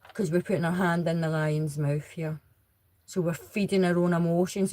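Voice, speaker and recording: Her voice is fairly low in pitch with a dark, mellow tone, ordinary pitch variation and a moderate pace. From Scotland. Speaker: tarot reader. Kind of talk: tarot reading. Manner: rambling, conversational.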